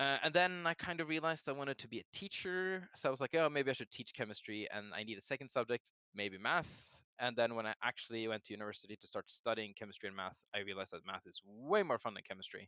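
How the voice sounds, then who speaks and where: A very fast, Norwegian-accented delivery with hardly any pauses, lively intonation, big swings in loudness, a bright, sharp tone and a dry, close sound with no echo. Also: man, medium pitch for a man. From Norway. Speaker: game designer. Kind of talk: casual interview.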